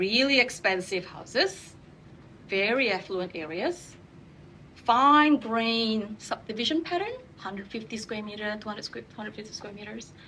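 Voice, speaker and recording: A woman with a non-native accent and a fairly high pitch talks at a moderate pace with lively intonation. Her loudness swings widely, and there is noticeable background noise. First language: not English. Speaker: urban designer. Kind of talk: panel discussion.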